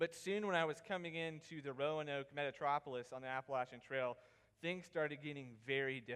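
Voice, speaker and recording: With a Southern US accent, a man speaks at a fairly quick pace in a fairly high voice, using ordinary pitch variation. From South Carolina, Pickens area. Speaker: student presenter. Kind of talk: presentation.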